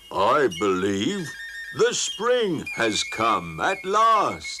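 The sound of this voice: A gruff, cartoonish character voice from a man at a very slow pace, with clear background noise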